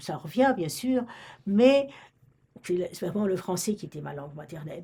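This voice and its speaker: Speaking at a fairly slow pace, a woman has a dark, mellow tone and a somewhat breathy voice with lively intonation. The recording is very clean, with a silent background. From Romania, French-speaking family. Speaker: retired librarian. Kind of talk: oral history interview. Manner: halting, many hesitations.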